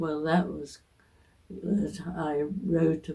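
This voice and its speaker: A woman speaks very slowly. Her dark, mellow voice is somewhat breathy. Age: 80s+. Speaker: retired biologist. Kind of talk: interview answer.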